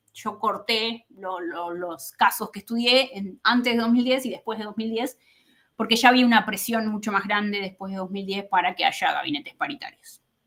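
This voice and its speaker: A woman talks in a fairly high pitch with ordinary pitch variation. Her loudness swings widely. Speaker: political scientist. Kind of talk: academic talk. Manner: fast.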